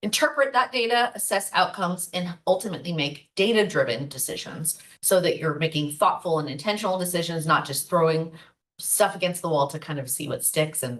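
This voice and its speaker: A woman talks at a fairly quick pace. Her voice is fairly low in pitch, with lively intonation. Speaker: marketing workshop presenter. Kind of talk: online workshop presentation. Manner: fast.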